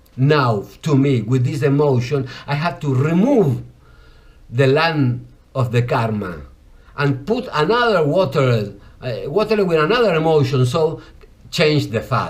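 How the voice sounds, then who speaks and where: Somewhat breathy and fairly high-pitched, a man with a Spanish accent speaks with lively intonation amid audible room echo. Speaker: yoga and ayurveda teacher. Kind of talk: lecture. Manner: halting.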